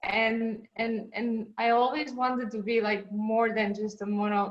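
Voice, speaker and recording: This woman's voice is fairly high in pitch and monotone, with flat intonation. She speaks at a fairly slow pace. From Estonia. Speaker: competitive swimmer and mermaid. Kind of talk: interview.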